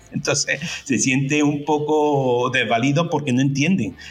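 Over music in the background, a man talks at a fairly high pitch with fairly even intonation. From Andalusia, Córdoba. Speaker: dubbing and localization company director. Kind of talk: casual interview. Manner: halting, many repetitions.

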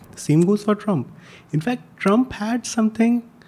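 Using a dark, mellow tone, a man talks at a moderate pace with ordinary pitch variation. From India. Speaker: journalist and newsletter editor. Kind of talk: casual chat.

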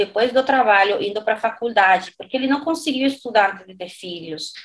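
Her Dominican accent comes with a high pitch and ordinary pitch variation as the woman speaks. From Dominican Republic. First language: Spanish (speaking Portuguese). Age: 40s. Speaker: renewable energy consultant. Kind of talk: interview. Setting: remote recording.

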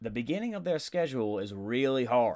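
This is a man talking. Nothing sounds in the background, and the recording is very clean. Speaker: football podcast host. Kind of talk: solo sports podcast monologue. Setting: home studio microphone. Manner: casual, filler-heavy.

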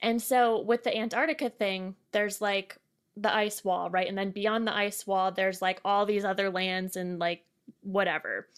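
In a very clean recording with a silent background, a woman with an American accent speaks in an unremarkable speaking voice at medium pitch, with fairly even intonation and a moderate pace. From Connecticut, US. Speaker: podcast host. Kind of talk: guided breathing; casual chat.

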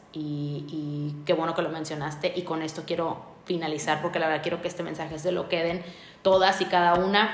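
A woman's fairly low, flat monotone moves at a fairly quick pace through audible room echo and noticeable background noise. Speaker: podcast host. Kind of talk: casual interview; monologue to listeners.

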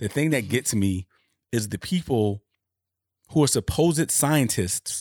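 A man's voice is heard in a dry, close sound with no echo. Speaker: podcast co-host. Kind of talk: casual chat. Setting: video call.

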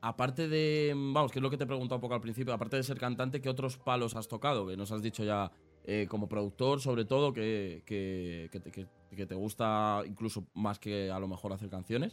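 Here is a man with an unremarkable speaking voice. His pitch sits in the medium range and moves with ordinary variation. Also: fairly quick pace, very clean recording, silent background. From Spain, Aranjuez (south Madrid). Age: 20s. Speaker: podcast and stream host. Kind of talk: casual interview.

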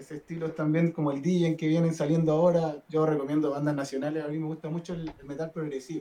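A man talks very fast in a fairly high, flat monotone, with hardly any pauses. His loudness swings widely over noticeable background noise. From northern Chile, Diego de Almagro. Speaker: rock guitarist. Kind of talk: casual chat. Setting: live stream.

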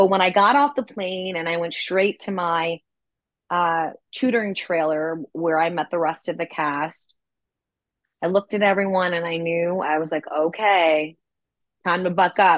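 A woman speaks at a moderate pace in a plain, everyday voice, pitched fairly low. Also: ordinary pitch variation. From New York City, Manhattan. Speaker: actress and voice actress. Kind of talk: interview.

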